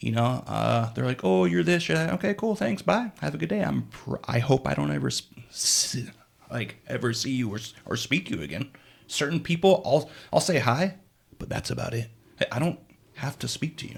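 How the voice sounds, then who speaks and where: Pausing long and often, a man with a medium pitch uses vocal fry and very wide pitch swings. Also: moderate pace. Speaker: podcast co-host. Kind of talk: casual chat. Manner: halting, repeated syllables.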